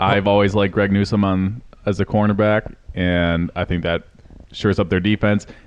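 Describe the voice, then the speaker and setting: Talking at a moderate pace, a man uses a fairly low pitch with monotone, flat intonation. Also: long, frequent pauses. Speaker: football podcast co-host. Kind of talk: casual chat. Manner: loud. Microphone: volume varies with unstable connection.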